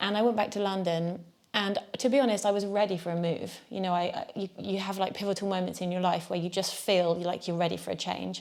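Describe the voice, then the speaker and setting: With a southern English accent, a woman speaks at a fairly quick pace with hardly any pauses, in medium pitch and fairly even intonation. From Devon, southwest England. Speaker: jazz musician. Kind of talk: interview.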